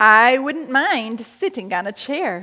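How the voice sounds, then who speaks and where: A woman puts on a character voice, speaking at a high pitch and a fairly slow pace. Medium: read story.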